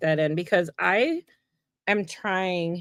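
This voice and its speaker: The speaker is a woman. Her voice is pitched in the middle. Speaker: mixed media artist livestreaming a craft session. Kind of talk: live craft tutorial chat. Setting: livestream at home. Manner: animated.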